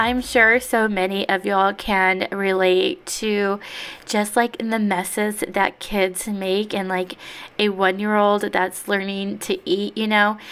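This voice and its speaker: A woman speaks with an American accent at a fairly slow pace. Her intonation is flat and monotone. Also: medium pitch for a woman. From Texas. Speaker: cleaning vlogger. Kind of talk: casual voiceover narration.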